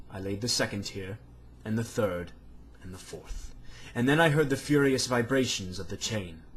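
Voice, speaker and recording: A man at medium pitch, somewhat breathy, at a moderate pace, with lively intonation and big swings in loudness. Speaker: amateur reader. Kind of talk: reading aloud. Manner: stammering.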